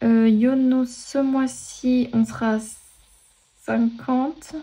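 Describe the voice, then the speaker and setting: The woman's voice has a dark, mellow tone. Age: 40s. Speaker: personal finance vlogger. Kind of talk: casual budgeting tutorial. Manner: hesitant, many fillers.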